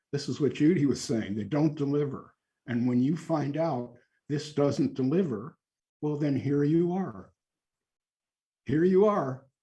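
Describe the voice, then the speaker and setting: Fairly high for a man, his voice has a dark, mellow tone and is somewhat breathy. He speaks at a fairly slow pace with long, frequent pauses. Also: ordinary pitch variation. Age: 70s. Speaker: author and spiritual teacher. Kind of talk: group discussion.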